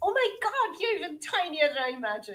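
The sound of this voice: The voice is a squeaky, put-on character voice. It races at a very fast pace through very wide pitch swings. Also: woman, extremely high pitch for a woman.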